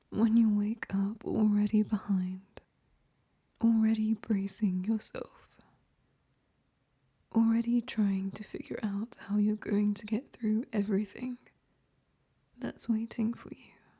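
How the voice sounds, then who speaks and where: Soft-spoken and in a British accent, the voice has a gentle, calm tone. It moves at a very slow pace with long, frequent pauses. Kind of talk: ASMR comfort monologue to the listener. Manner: soft-spoken, gentle, calm.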